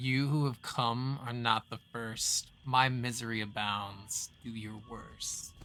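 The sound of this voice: A man performs a put-on character voice. He speaks at a fairly slow pace with fairly even intonation. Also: medium pitch for a man, hardly any pauses.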